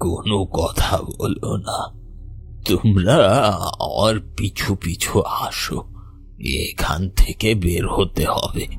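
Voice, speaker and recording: A man uses a raspy, cartoonish character voice, fairly low in pitch, at a very slow pace, with clear background noise. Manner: solemn, gentle.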